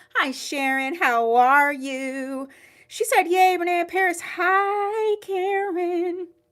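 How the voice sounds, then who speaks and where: Her voice is raised and projected, with lively intonation. The woman speaks very slowly. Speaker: online wig boutique owner hosting live sale. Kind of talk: live-stream sales chat. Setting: livestream. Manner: casual, chatty.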